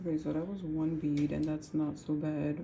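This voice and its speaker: Dark and mellow, a woman's very deep, low voice stays monotone and flat at a moderate pace, with audible room echo. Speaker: nail art youtuber. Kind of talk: casual tutorial vlog. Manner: whispering; hesitant, filler-heavy.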